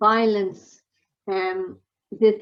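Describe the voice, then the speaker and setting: A woman speaks with an Irish accent. Her intonation stays fairly even. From Ireland. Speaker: healthcare quality consultant. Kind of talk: conference talk.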